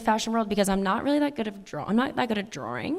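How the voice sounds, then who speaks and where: A woman talks with an American accent. Her pitch sits fairly high and varies in an ordinary way. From Long Island, New York. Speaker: fashion entrepreneur. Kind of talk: onstage interview conversation. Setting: stage with audience at stadium event. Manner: casual, animated.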